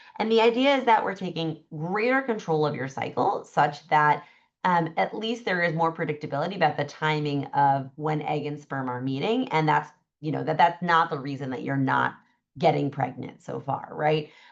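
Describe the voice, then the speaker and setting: Over a quiet background, a woman with a very deep, low pitch and vocal fry speaks at a moderate pace with lively intonation. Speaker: fertility doctor. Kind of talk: webinar presentation. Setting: video call.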